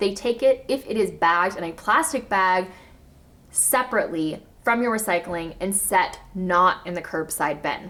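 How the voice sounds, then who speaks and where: A woman's animated, bright and sharp voice with an American accent and ordinary pitch variation. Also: medium pitch for a woman, moderate pace. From US South, Arkansas. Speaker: zero waste lifestyle vlogger. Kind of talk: casual educational vlog.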